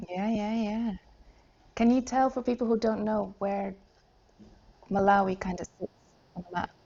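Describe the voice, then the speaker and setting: A woman with a fairly high, somewhat breathy voice speaks at a moderate pace with fairly even intonation. She leaves long, frequent pauses. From Netherlands. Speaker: podcast host. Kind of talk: interview.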